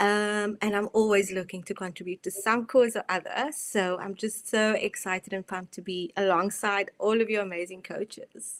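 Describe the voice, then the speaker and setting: With a South African accent, a woman talks with fairly even intonation in a dry, close recording that has no echo. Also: medium pitch for a woman, hardly any pauses. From South Africa, Cape Town. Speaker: mindset and performance coach. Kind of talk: online presentation. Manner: slow.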